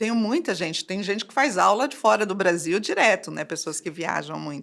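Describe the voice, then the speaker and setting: This woman talks at a moderate pace and medium pitch, with lively intonation, vocal fry and big swings in loudness. The recording is very clean and the background is silent. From Brazil, São Paulo state (Valinhos). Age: 60s. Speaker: entrepreneur running courses for seniors. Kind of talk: podcast interview.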